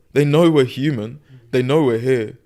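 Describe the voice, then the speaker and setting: In a British accent, a man with a medium pitch and a dark, mellow tone speaks at a moderate pace with fairly even intonation, on a very clean recording with a silent background. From Gaza, Palestine. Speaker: podcast guest. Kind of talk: casual interview conversation. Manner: halting, many fillers and repetitions.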